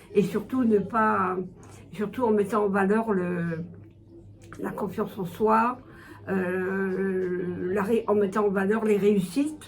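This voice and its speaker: A woman with a medium pitch talks very slowly, leaving long, frequent pauses. Her intonation stays fairly even, and the room echo is audible. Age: 70s. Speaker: retired volunteer tutor. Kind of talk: interview testimony. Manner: hesitant, many fillers.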